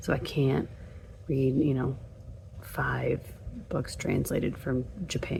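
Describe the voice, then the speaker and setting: Noticeable background noise is present. A woman talks over it. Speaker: book vlogger. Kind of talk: casual vlog. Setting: at home late at night.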